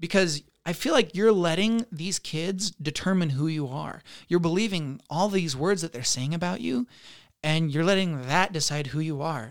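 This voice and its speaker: This man, with a fairly high pitch and an American accent, speaks in a normal speaking voice at a moderate pace with ordinary pitch variation on a very clean recording with a silent background. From Utah. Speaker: high school counselor. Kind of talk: casual chat. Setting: studio.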